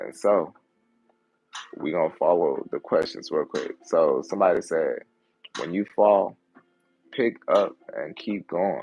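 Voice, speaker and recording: A man speaks with an American accent at a fairly slow pace. His speech is broken by long, frequent pauses. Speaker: content creator, livestream host. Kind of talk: casual livestream chat. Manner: animated.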